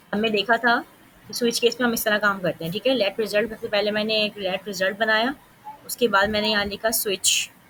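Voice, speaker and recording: A fairly high-pitched woman's voice in monotone, flat intonation amid noticeable background noise. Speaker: coding teacher. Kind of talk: live coding class. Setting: online class with screen share. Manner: fast.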